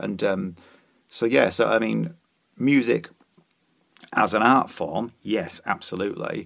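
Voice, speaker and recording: With a Yorkshire accent, a man talks at a fairly slow pace, leaving long, frequent pauses. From Yorkshire, York. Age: 40s. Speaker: musician and author. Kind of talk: casual chat.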